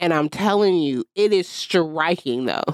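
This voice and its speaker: A woman with an ordinary speaking voice, medium in pitch, with lively intonation. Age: 30s. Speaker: podcast co-host. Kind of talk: casual chat.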